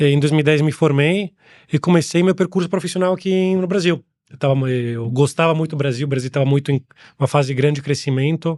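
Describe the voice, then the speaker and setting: With an Italian accent, a man speaks at a fairly quick pace and fairly high pitch with ordinary pitch variation against a quiet background. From Italy. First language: Italian (speaking Portuguese). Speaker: angel investor. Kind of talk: interview. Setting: studio.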